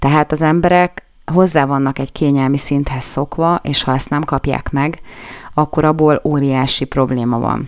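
Her voice is very deep and low for a woman, with fairly even intonation and a moderate pace. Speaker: radio news-analysis host. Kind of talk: solo radio commentary. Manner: hesitant with fillers.

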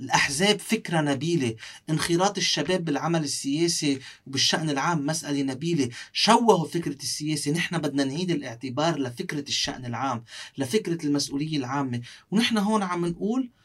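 A man's fairly high, unremarkable speaking voice with lively intonation. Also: moderate pace. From South Lebanon. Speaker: parliamentary candidate and law professor. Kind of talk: interview.

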